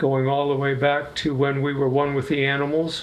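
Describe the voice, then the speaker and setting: A man's fairly high voice in a monotone, flat delivery, with audible room echo. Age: 80s+. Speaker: musician in an experimental collective. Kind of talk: interview.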